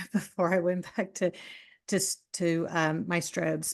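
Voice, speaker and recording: Against a quiet background, a woman talks with a Southern US accent. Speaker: boudoir photographer. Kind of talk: casual interview chat. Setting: podcast interview.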